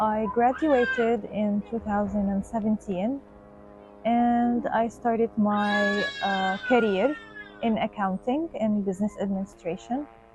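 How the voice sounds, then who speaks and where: Over music in the background, a woman with a fairly high pitch speaks at a fairly slow pace with ordinary pitch variation. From Gaza, Palestine. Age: 20s. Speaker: accountant, displaced mother. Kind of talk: testimony. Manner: halting, with fillers and restarts.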